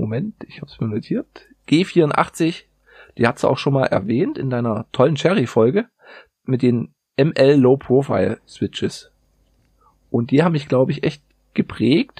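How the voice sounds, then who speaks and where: Lively intonation and big swings in loudness at a fairly slow pace, somewhat breathy, with long, frequent pauses and a dry, close sound with no echo. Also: man, fairly high pitch for a man. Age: 30s. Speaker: metal industry worker, keyboard hobbyist. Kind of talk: casual chat.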